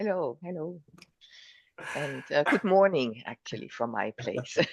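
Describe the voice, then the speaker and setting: The pitch swings very widely at a fairly slow pace. The background is quiet. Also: woman, very deep, low pitch for a woman. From southwest Germany. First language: German. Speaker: coach. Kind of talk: interview. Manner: halting, with repetitions.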